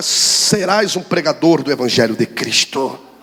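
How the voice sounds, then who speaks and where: Over noticeable background noise, a high-pitched man talks at a moderate pace with lively intonation. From Brazil, Rio de Janeiro. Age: 30s. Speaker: pastor. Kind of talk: sermon.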